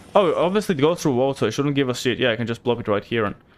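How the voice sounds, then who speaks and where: A man is speaking. He has a slight Bulgarian accent. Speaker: gaming streamer. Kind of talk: live gameplay commentary. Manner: casual, filler-heavy.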